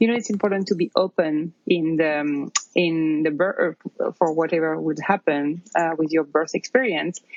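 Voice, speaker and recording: Moderate pace and ordinary pitch variation in a French accent. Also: woman, fairly low pitch for a woman. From France, near Paris. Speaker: new mother and yoga teacher. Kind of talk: interview testimony. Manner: hesitant, many fillers.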